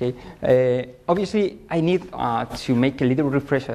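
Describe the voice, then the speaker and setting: A man's medium-pitched voice in a Spanish accent with ordinary pitch variation. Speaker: software debugging consultant. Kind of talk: conference talk. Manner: slow, deliberate; hesitant, many fillers.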